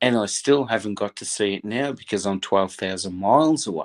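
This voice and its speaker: A man with an Australian accent and lively intonation at a moderate pace, in a very clean, silent-background recording with a dry, close sound and no echo. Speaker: football fan guest. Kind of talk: passionate fan commentary. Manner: animated.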